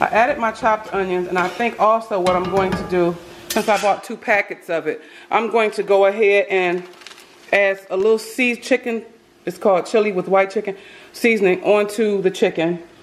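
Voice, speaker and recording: With fairly even intonation, a woman speaks at a fairly quick pace. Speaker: home cook vlogger. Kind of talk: casual vlog chat. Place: kitchen. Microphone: phone near.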